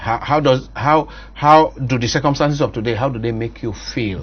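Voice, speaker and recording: Somewhat breathy and at a moderate pace, a man with a Nigerian accent speaks at a medium pitch with fairly even intonation. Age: 50s. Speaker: priest and talk show host. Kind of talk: interview. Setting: studio.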